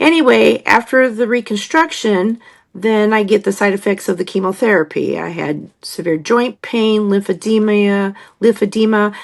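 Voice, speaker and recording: At a moderate pace, a woman talks at a medium pitch with ordinary pitch variation over a quiet background. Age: 60s. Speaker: hairdresser and cancer survivor. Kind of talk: personal testimony. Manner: halting, many fillers.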